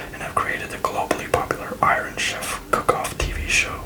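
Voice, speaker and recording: Whispering at a fairly quick pace amid noticeable background noise. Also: woman. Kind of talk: travel guide reading. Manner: whispered, soft-spoken.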